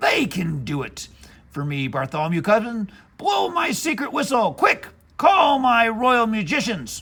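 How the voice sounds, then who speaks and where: Doing a growling, put-on character voice, a man speaks at a moderate pace in a high pitch with very wide pitch swings. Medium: read story. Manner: blustery, growling, imperious.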